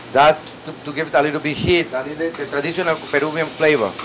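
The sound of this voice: Over faint background noise, a man speaks at a fast pace in a fairly high pitch, with a fairly bright tone and fairly even intonation.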